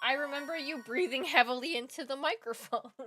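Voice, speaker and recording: A woman is speaking. Her tone is animated. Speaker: streamer and voice actor. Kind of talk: casual live-stream chat while gaming. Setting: live stream. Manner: rambly.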